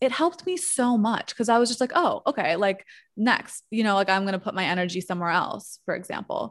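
A woman with an American accent talks at a fairly quick pace with very wide pitch swings. The recording is very clean, with a silent background. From New York. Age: 30s. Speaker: marketer and social media creator. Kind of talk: casual interview chat.

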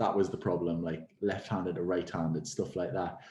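A man's very deep, low voice with a dark, mellow tone, flat monotone intonation and a Geordie accent. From Newcastle, England. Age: 20s. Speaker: personal trainer and gym owner. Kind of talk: casual interview chat.

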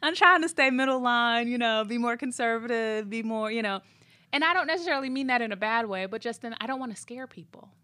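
A woman speaks at a very fast pace in a high, bright, sharp voice with an animated tone, ordinary pitch variation and big swings in loudness. The recording is very clean with a silent background. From US Midwest. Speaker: podcast host. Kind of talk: casual chat. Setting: studio.

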